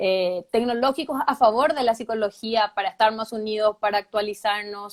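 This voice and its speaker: A woman speaks in a plain, everyday voice with a fairly high pitch, fairly even intonation and a moderate pace. The recording is very clean, with a silent background and a dry, close sound with no echo. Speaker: clinical psychologist. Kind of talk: live interview. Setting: Instagram live video.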